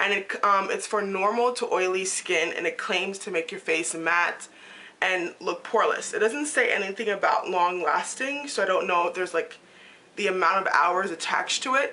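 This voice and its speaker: A woman at a medium pitch and moderate pace, with ordinary pitch variation, over noticeable background noise. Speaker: beauty vlogger. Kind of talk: casual talk to camera.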